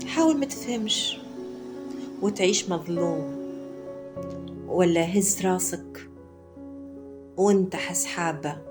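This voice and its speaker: Music plays in the background as a woman with a Tunisian accent speaks very slowly. She leaves long, frequent pauses. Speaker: poet. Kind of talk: poetry reading.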